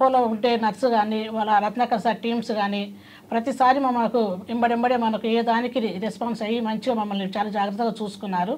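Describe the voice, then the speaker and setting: A woman with an unremarkable speaking voice. Her pitch sits fairly high, and her intonation stays fairly even. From Hyderabad, Telangana, India. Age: 50s. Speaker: patient. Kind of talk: testimony.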